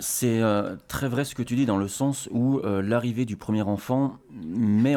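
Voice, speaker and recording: At a very slow pace, a man speaks in a dark, mellow tone with fairly even intonation. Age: 30s. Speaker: father on parental leave. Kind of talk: casual interview chat.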